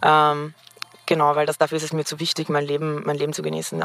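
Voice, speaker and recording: The woman's voice has a very deep, low pitch and a bright, sharp tone. She speaks at a fairly quick pace with monotone, flat intonation. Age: 20s. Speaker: podcast interviewee. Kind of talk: casual chat. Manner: fast.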